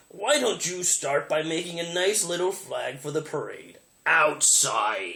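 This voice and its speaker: Putting on a gruff character voice, a man speaks at a high pitch and a fairly slow pace with lively intonation. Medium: read story. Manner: gruff, grumbling.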